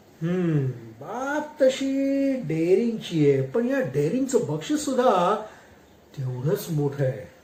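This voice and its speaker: The pitch moves in very wide swings. Noticeable background noise can be heard. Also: man, high pitch for a man. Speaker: voice-over artist. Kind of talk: read story.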